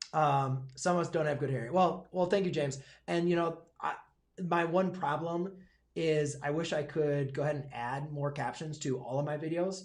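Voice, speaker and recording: Somewhat breathy and fairly high-pitched, a man with an American accent talks with fairly even intonation amid audible room echo. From Michigan, US. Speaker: high school math teacher and YouTuber. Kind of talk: live stream Q&A. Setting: livestream. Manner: fast; hesitant, many fillers.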